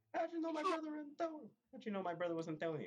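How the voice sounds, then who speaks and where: A man's put-on character voice, extremely high-pitched and very fast. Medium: actual play. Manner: brusque, casual.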